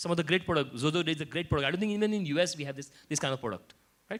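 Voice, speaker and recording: Very wide pitch swings mark this man's speech. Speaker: panel speaker. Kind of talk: panel discussion. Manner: repetitive false starts.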